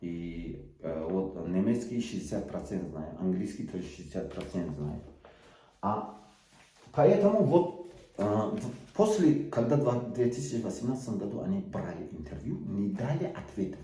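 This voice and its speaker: Audible room echo surrounds a man who talks at a fairly slow pace, his fairly low pitch moving in very wide swings. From Tajikistan, Sughd region. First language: Tajik (speaking Russian). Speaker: political activist. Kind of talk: video appeal. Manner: halting, many hesitations.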